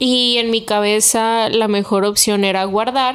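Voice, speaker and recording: A woman's fairly high voice in a Mexican accent, monotone and flat in intonation, at a fairly slow pace. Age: 20s. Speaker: podcast co-host. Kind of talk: casual chat.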